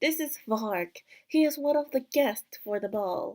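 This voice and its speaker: Using a put-on character voice, a woman speaks high at a fairly slow pace. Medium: game stream.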